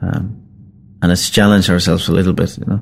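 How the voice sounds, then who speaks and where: A man with a Finnish accent, fairly low in pitch, at a fairly quick pace. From Finland. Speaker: singer-songwriter and band frontman. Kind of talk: interview storytelling. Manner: hesitant with many fillers.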